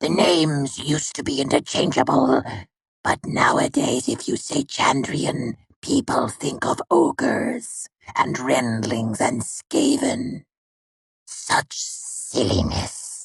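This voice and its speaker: A man does a put-on character voice, fairly high in pitch and at a fairly slow pace. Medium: read story. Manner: dry, nonchalant, mocking.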